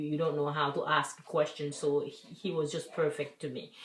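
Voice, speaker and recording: With audible room echo and noticeable background noise, a woman speaks in a very deep, low pitch. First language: French. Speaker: vlogger. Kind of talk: personal vlog.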